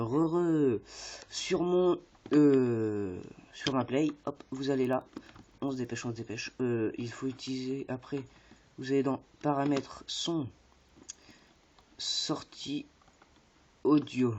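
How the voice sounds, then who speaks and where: A very slow pace with long, frequent pauses. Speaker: gaming YouTuber. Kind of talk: tutorial. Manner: hesitant, many fillers.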